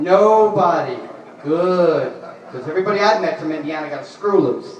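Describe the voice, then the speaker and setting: Someone with a New York accent speaks at a moderate pace against noticeable background noise. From New York, the Bronx. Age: 40s. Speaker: comedian. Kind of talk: stand-up. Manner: animated.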